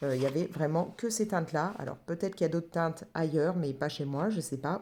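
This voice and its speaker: A woman's dark, mellow voice with ordinary pitch variation, on a very clean recording with a silent background. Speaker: craft and colouring vlogger. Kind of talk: casual vlog chat. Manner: halting, many hesitations.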